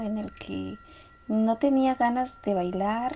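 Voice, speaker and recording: The woman's voice has a dark, mellow tone and ordinary pitch variation. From Peru. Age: 30s. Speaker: story contributor. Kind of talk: storytelling. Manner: halting.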